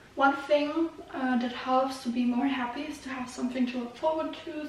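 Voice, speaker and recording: The speaker talks with a Russian accent and fairly even intonation. Room echo is audible. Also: woman. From Germany. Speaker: YouTuber. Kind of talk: casual vlog talk.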